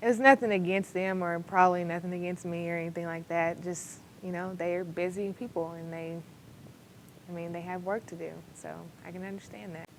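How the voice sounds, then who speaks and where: A woman with an American accent speaks fairly quickly in an unremarkable speaking voice, her pitch fairly low and her intonation fairly even. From Texas, McKinney. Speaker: college basketball player. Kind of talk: interview.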